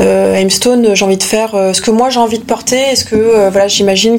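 Noticeable background noise sits behind a woman talking at a fairly quick pace. Her intonation is monotone and flat. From France, Paris. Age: 30s. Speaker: fashion designer. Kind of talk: interview. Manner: halting, many hesitations.

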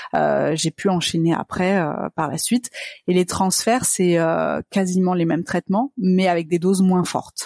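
An ordinary speaking voice moves at a fairly slow pace with fairly even intonation. The sound is dry and close, with no echo. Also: woman, fairly low pitch for a woman. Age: 30s. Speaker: business manager sharing fertility journey. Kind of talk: interview testimony.

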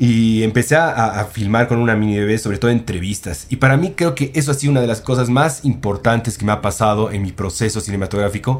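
At a medium pitch, a man races along at a very fast pace with lively intonation. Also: hardly any pauses. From Bolivia. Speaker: film director. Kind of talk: casual chat.

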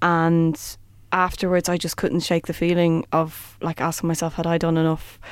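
Very clean, with a silent background, this recording has a woman speaking in an Irish accent. Her pitch sits fairly low, and her intonation is monotone and flat. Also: moderate pace. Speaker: theatre performer. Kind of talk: interview.

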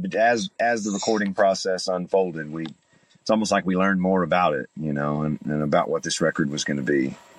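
A man with an East Tennessee accent speaks at a very deep, low pitch and moderate pace. His pitch varies in an ordinary way, and the sound is dry and close with no echo. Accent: Southern US (East Tennessee). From East Tennessee (Chattanooga). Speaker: bluegrass singer and guitarist. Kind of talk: interview. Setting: remote call.

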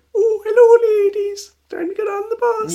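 A put-on character voice sits at an extremely high pitch. Its intonation is monotone and flat. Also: moderate pace. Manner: sweet, quavery, stereotyped.

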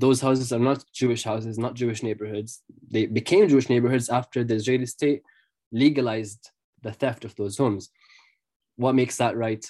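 Speaking fairly quickly in an Arabic accent, the voice has a dark, mellow tone and fairly even intonation. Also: man, medium pitch for a man. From Jerusalem, Palestine. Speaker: freelance journalist. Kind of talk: interview conversation. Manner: halting, with many fillers and repetitions.

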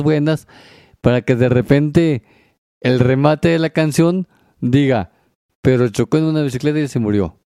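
Recorded very cleanly with a silent background and a dry, close sound with no echo, a man speaks at medium pitch with a dark, mellow tone. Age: 40s. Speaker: podcast host. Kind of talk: casual chat.

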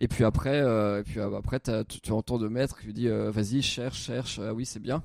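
Moderate in pace, a man talks at a medium pitch. His intonation stays fairly even. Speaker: comedy podcast co-host, amateur youtuber. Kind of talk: casual chat. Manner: halting.

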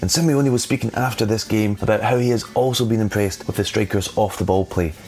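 Noticeable background noise is present throughout. The talking goes at a very fast pace, with ordinary pitch variation. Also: man. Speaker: football pundit. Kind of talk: scripted narration.

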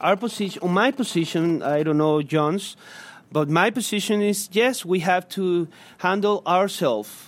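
The speaker has a Spanish accent and lively intonation at a very slow pace. The recording is very clean, with a silent background. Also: man. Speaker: human rights activist. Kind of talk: public lecture; Q&A answer. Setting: stage with audience. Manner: halting.

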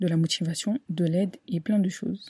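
Her tone is dark and mellow as the woman speaks fairly slowly and somewhat breathily, the sound dry and close with no echo. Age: 20s. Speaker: podcast host. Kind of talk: casual monologue.

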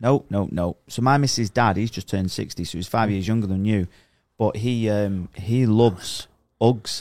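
A man with a plain, everyday voice speaks at a moderate pace, his fairly low pitch moving with ordinary variation, on a very clean recording with a silent background. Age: 30s. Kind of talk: casual chat.

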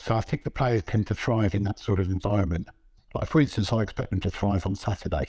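A man talks at a very fast pace in a fairly low pitch with ordinary pitch variation. His tone is dark, mellow and somewhat breathy. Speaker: football journalist and author. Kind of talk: casual interview chat.

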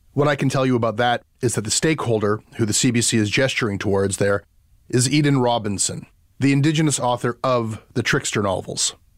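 On a very clean recording with a silent background, a man in an ordinary speaking voice talks at a fairly quick pace and medium pitch, his loudness very even. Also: ordinary pitch variation. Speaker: podcast host. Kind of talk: interview and narrated commentary.

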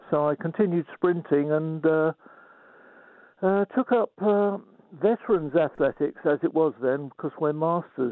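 Pitch varies in an ordinary way as a man talks at a fairly slow pace. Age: 80s+. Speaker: veteran athlete. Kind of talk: interview. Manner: halting.

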